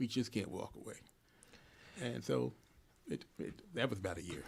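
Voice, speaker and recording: Speaking at a fairly quick pace, a man with an American accent shows vocal fry. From Philadelphia, US. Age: 70s. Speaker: veteran journalist. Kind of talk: interview. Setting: radio studio.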